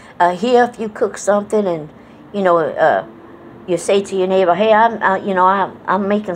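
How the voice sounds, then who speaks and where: Noticeable background noise sits behind a woman with an American accent. She speaks at a moderate pace in a medium pitch with ordinary pitch variation. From Connecticut, New England, to Southern parents. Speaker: vlogger. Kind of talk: casual monologue vlog. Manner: relaxed, with many fillers and repetitions.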